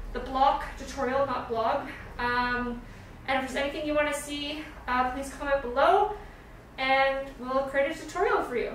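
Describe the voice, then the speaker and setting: Amid noticeable background noise and audible room echo, a woman with a high pitch speaks at a moderate pace with ordinary pitch variation. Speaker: stop motion app content creator. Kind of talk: tutorial; casual chat. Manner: casual with fillers.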